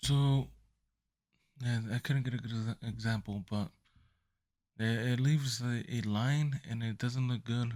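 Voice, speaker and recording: A soft-spoken man at a medium pitch and a fairly slow pace, with long, frequent pauses. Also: fairly even intonation. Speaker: photography youtuber. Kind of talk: tutorial. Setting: at home at night. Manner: halting. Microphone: mic close to speaker.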